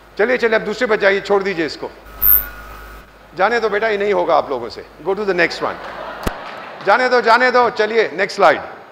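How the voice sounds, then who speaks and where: A man's high-pitched voice at a moderate pace with ordinary pitch variation and long, frequent pauses, over noticeable background noise. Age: 70s. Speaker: diplomat and government advisor. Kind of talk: motivational talk to students. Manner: animated, joking.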